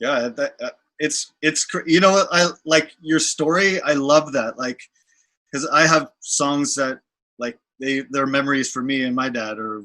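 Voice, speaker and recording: A bright, sharp tone in a Canadian accent, at a fairly slow pace with ordinary pitch variation, over a quiet background. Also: man, fairly high pitch for a man. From Canada. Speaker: rock musician. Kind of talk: interview. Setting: video call.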